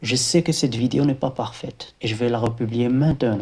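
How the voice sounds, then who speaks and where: A man talks in a somewhat breathy voice at a medium pitch. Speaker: embedded software engineer, video creator. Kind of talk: motivational talk to camera. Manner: halting, many hesitations.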